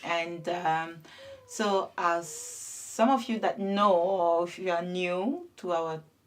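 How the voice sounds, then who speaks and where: A woman's fairly low voice in a French accent, at a very slow pace with ordinary pitch variation. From France (Paris), born in Ivory Coast. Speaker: web TV co-host. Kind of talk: casual chat.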